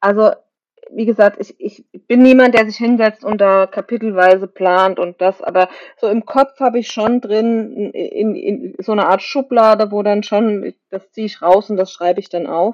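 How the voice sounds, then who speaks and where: Here a woman talks in a plain, everyday voice at a fairly high pitch. Her pitch variation is ordinary. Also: moderate pace, dry, close sound with no echo. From Germany, Kaiserslautern area (Palatinate). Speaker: novelist. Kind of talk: interview.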